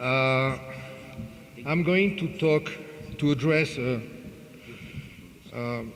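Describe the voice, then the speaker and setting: A man with a French accent at a fairly high pitch, very slow pace and ordinary pitch variation, long, frequent pauses, audible room echo and noticeable background noise. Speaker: conference speaker. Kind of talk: lecture. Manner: halting, many fillers.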